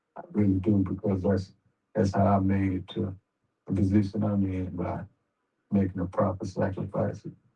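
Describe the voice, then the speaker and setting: In a monotone, flat delivery, a man with a fairly low pitch and a somewhat breathy, dark, mellow tone speaks at a moderate pace with long, frequent pauses. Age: 60s. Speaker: boxing manager. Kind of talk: interview.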